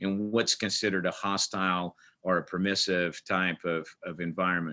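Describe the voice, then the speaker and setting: A man with an American accent keeps to a moderate speed. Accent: Portuguese-tinged American English. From Portugal. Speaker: army command sergeant major. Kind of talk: webinar interview. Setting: video webinar.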